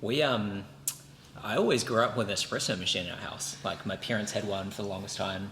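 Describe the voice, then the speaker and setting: The speaker has a New Zealand accent and talks at a fairly quick pace. Background noise is noticeable, and room echo is audible. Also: man. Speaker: podcast co-host. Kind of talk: casual chat.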